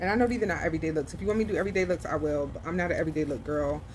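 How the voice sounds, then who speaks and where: A soft-spoken woman with a very deep, low pitch and lively intonation, amid audible room echo. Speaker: beauty vlogger. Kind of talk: makeup tutorial.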